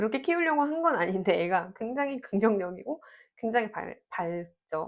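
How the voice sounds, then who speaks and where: Very wide pitch swings in a fairly high female voice, delivered at a moderate pace. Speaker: parenting vlogger. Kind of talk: Q&A monologue. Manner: conversational.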